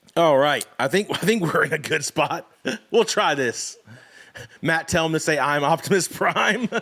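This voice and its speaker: Noticeable background noise sits behind this recording. A man speaks at a fairly high pitch with ordinary pitch variation. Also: moderate pace. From Maine. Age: 40s. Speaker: streamer. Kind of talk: casual chat. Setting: live stream. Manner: halting.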